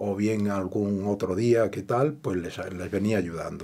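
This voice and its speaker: The tone is dark and mellow, and the pace is fairly slow. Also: man. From Andalusia, Granada province; Andalusia. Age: 70s. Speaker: retired electrician; interview guest. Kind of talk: interview. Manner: halting. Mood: calm reminiscing. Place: studio.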